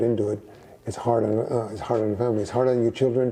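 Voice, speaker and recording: A man with a medium pitch speaks very fast in a monotone, flat delivery. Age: 60s. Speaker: boxing trainer. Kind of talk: interview. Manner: halting.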